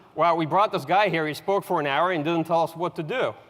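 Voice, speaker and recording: Talking fairly quickly, a man uses a high pitch. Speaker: military analyst. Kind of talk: lecture. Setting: auditorium with audience. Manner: fast.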